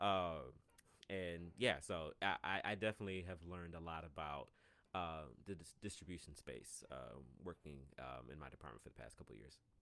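A man with an American accent speaks at a moderate pace in a very deep, low pitch with vocal fry. His tone is bright and sharp, and his loudness swings widely. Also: ordinary pitch variation. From US South, Atlanta, Georgia. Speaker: singer-songwriter. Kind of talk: casual chat.

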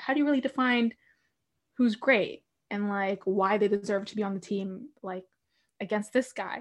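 A woman with an unremarkable speaking voice, fairly high in pitch with ordinary variation, at a moderate pace over a quiet background. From Canada. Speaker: hockey podcast host. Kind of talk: trivia quiz hosting; casual chat.

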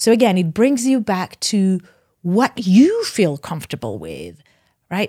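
On a very clean recording with a silent background, a woman speaks at a fairly slow pace. Her somewhat breathy voice has a dark, mellow tone and lively intonation. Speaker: licensed professional counselor. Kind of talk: podcast interview. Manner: halting.

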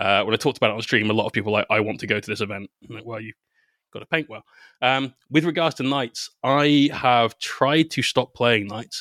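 Speaking at a fairly quick pace in a West Country accent, a man with a medium-pitched, bright, sharp voice uses ordinary pitch variation and big swings in loudness, recorded dry and close with no echo on a very clean, silent background. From Bristol, southwest England. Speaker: painter and content creator. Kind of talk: casual interview chat.

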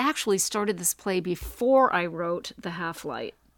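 A woman with an ordinary speaking voice, medium pitch and ordinary pitch variation is heard on a very clean recording with a silent background and a dry, close sound with no echo. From Maine, US (Mexico, mill town). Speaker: playwright and author. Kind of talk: casual interview chat.

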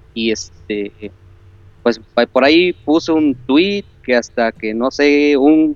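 This man's voice sits fairly high and moves at a very slow pace. The sound is dry and close, with no echo. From Córdoba, Veracruz, Mexico. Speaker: video game fan caller. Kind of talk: casual chat. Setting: Skype call.

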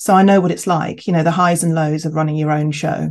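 This woman talks with a southern English accent at a fairly quick pace. Her pitch sits fairly low. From England, Kent. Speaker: chief executive of a homeopathy professional body. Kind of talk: interview conversation.

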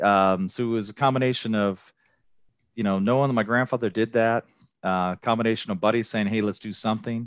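Medium-pitched man with a plain, everyday voice, fairly quick and fairly even in intonation, in a dry, close sound with no echo on a very clean recording with a silent background. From US Midwest, moved to Texas as a child. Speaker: Marine veteran, hospital purchasing director. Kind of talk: casual interview.

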